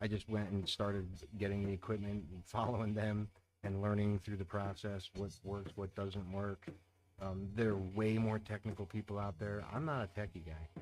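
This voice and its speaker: In a very clean recording with a silent background, a man with a fairly low pitch speaks quietly at a moderate pace with fairly even intonation. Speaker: amateur astrophotographer. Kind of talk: live stream chat. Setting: home at night, music playing. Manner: quiet, talking low; relaxed.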